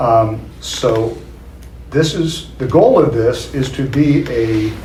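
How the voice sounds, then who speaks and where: A man speaking at a very slow pace with ordinary pitch variation, amid noticeable background noise and audible room echo. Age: 70s. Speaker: local property developer. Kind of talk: public meeting presentation. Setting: public meeting room. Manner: hesitant, many fillers.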